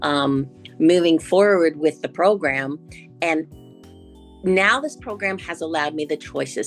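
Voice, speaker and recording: With music in the background, a woman with a fairly low pitch speaks at a fairly slow pace. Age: 60s. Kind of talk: interview answer.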